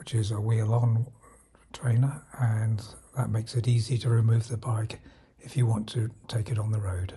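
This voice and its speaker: With a British accent, a man talks in a fairly even intonation. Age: 70s. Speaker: retired amateur cyclist reviewing apps. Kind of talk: tutorial. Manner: halting.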